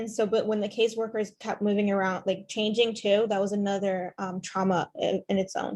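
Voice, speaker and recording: Against a quiet background, a woman speaks at a moderate pace in a somewhat breathy, medium-pitched voice with monotone, flat intonation. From Ethiopia. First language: not English (Ethiopian language). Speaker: former foster youth panelist. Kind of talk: panel discussion. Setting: video call. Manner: hesitant, many fillers.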